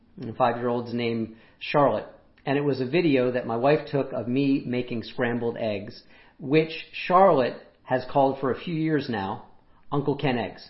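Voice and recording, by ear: A man speaks at a moderate pace and medium pitch, his voice raspy with ordinary pitch variation. There are few pauses, and audible room echo surrounds him.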